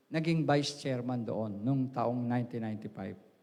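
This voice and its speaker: Audible room echo around a male voice with ordinary rises and falls in pitch. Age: 60s. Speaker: pastor. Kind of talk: sermon. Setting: church. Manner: halting.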